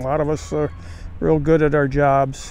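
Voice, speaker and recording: A man talks at a fairly slow pace while noticeable background noise plays beneath. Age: 70s. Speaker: recovering alcoholic sharing his experience. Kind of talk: personal testimony monologue. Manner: halting, many filler words.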